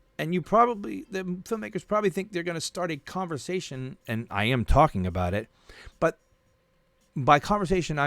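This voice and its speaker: A man talks in an animated tone with very wide pitch swings. The recording is very clean, with a silent background. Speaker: movie vlogger. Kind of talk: casual livestream rant. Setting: home livestream. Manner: rambling, animated.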